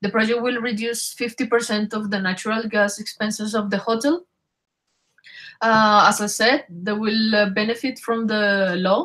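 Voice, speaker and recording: Fairly even intonation from a woman with a Spanish accent, fairly high in pitch, at a moderate pace. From Colombia. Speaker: engineer presenting a solar project. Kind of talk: webinar presentation. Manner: halting with fillers.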